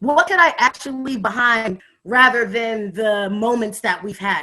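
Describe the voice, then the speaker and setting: Loud and bright with a sharp tone, a woman speaks slowly-ish at a fairly slow pace in a fairly high pitch. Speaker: youth advocate and hip hop artist. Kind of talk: casual chat. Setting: video call.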